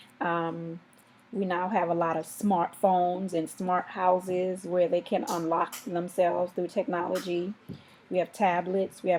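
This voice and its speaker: Delivered in an American accent, the speech moves at a fairly slow pace with monotone, flat intonation. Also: woman. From US Virgin Islands, Saint Thomas. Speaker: parent. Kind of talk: interview.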